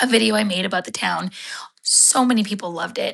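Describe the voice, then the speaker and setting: This woman has a medium pitch, a bright, sharp tone, and some vocal fry. She sounds animated and talks at a fairly quick pace. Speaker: writer and content creator. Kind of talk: live stream talk. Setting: live video. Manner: fast.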